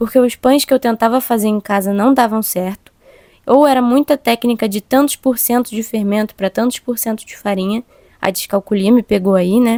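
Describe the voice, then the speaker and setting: Her pitch fairly high and her tone dark and mellow, a woman speaks with fairly even intonation. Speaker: podcast host, cook. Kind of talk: personal reflection monologue. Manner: fast-talking.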